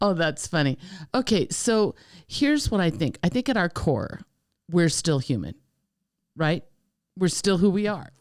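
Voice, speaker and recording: Speaking in an animated tone with very wide pitch swings, a woman keeps her loudness very even and leaves long, frequent pauses. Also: fairly low pitch for a woman, moderate pace, very clean recording, silent background. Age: 60s. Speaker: podcast co-host. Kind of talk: casual chat.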